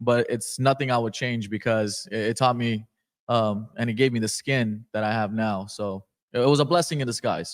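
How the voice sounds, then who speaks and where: On a very clean recording with a silent background, a plain, everyday voice talks at a moderate pace, and its pitch varies by an ordinary amount. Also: man, medium pitch for a man. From Afghanistan, moved to California at eight. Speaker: entrepreneur. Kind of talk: podcast interview. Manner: casual, filler-heavy.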